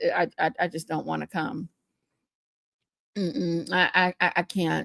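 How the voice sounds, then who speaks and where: A woman speaks at a fairly slow pace in a bright, sharp tone. The sound is dry and close with no echo, on a very clean recording with a silent background. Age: 40s. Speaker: livestream reaction host. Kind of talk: casual livestream chat. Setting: live stream. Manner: animated.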